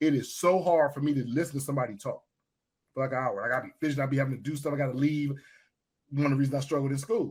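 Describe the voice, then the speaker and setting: Somewhat breathy and animated, a man talks at a very fast pace with a fairly high pitch. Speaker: podcast host. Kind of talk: casual chat.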